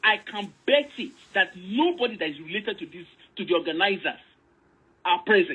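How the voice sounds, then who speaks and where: The speaker moves at a fairly quick pace with an animated tone and very wide pitch swings. Loudness swings widely, and long, frequent pauses appear. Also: woman, medium pitch for a woman. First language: Yoruba. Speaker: online commentator. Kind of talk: casual discussion, code-switching Yoruba and English.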